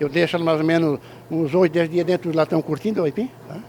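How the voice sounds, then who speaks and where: A man with a high pitch at a fairly quick pace. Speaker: cassava flour miller. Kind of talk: interview. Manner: informal, many fillers.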